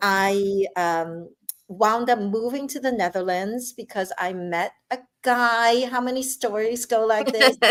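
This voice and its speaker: Fairly high-pitched woman's voice with ordinary pitch variation. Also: fairly slow pace. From Brooklyn, New York (immigrant from China as child). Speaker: novelist. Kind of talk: interview about her life and books. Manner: animated, chatty with fillers.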